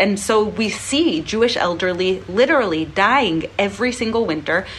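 Lively intonation from a woman against noticeable background noise. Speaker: charity leader and fundraiser. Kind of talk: charity appeal.

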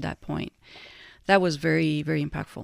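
A woman speaks at a very deep, low pitch. The recording is very clean with a silent background and a dry, close sound with no echo. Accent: Italian. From Italy. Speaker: nonprofit director. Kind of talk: interview conversation.

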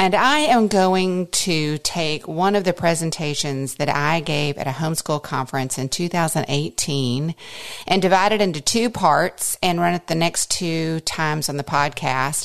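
A woman in an ordinary speaking voice, fairly low in pitch with ordinary pitch variation, at a fairly slow pace with hardly any pauses. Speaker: podcast host and homeschool mother. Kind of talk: conference talk retold as podcast.

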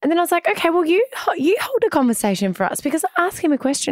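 A woman with an Australian accent speaks with very wide pitch swings, the sound dry and close with no echo. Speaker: podcast co-host. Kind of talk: casual chat. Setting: studio.

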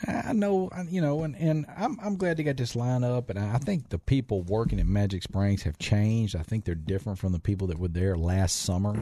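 A man with a Southern US accent, medium in pitch and dark, mellow in tone, somewhat breathy, at a fairly quick pace with hardly any pauses and very wide pitch swings. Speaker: restaurant owner. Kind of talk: casual chat. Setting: studio.

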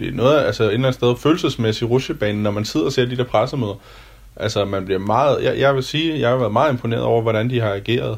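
A man talks at a very fast pace in a somewhat breathy voice. His pitch is medium, with ordinary variation. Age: 30s. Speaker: restaurant waiter and co-leaseholder. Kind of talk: self-recorded audio diary.

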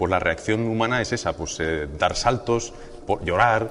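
This is a normal speaking voice from a man at a medium pitch. He keeps a moderate pace with ordinary pitch variation. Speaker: physicist and weather presenter. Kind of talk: interview explanation.

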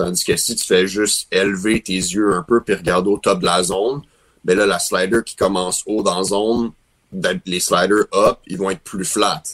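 At a moderate pace, a man with a fairly low pitch speaks in an unremarkable speaking voice. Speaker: professional baseball player. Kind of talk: interview.

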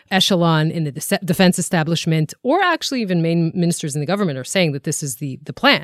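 A woman with an Israeli accent speaks at a fairly low pitch in a very clean recording, with a silent background and a dry, close sound free of echo. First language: Hebrew. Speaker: podcast co-host and TV journalist. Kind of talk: casual current-affairs discussion. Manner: frequent fillers, somewhat halting.

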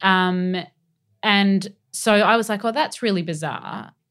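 Over a silent background in a very clean recording, a woman with an Australian accent speaks very slowly with ordinary pitch variation. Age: 30s. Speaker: entertainment journalist. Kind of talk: casual chat.

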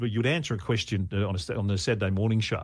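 Speaking at a very fast pace with an Australian accent, a man sounds somewhat breathy in a very clean recording with a silent background. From Queensland, Australia. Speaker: radio broadcaster. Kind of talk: casual interview.

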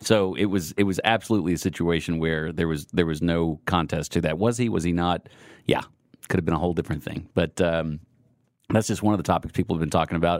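Very deep and low, a man's voice comes with an American accent and fairly even intonation at a very fast pace. The recording is very clean, with a silent background. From Texas. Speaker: podcast host. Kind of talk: casual chat. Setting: studio.

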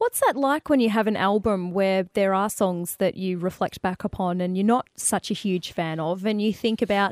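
An Australian-accented woman talks at a fairly quick pace and medium pitch, the recording very clean with a silent background and a dry, close sound with no echo. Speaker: radio host. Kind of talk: radio interview.

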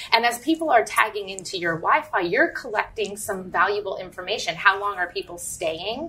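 A woman talks with hardly any pauses over noticeable background noise. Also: medium pitch for a woman, lively intonation, fairly quick pace. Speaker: marketing director. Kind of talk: casual interview. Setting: live at a store.

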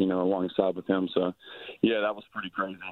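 Speaking at a fairly quick pace, a man with a very deep, low pitch and an American accent uses a monotone, flat intonation. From US South. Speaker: professional baseball player. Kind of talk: interview.

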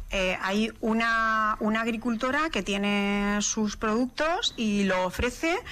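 At a very slow pace with hardly any pauses, a woman speaks at a fairly high pitch with a bright, sharp tone, very even loudness and ordinary pitch variation. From Spain, raised in Madrid (born in La Mancha). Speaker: chef and food stylist. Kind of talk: interview. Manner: halting.

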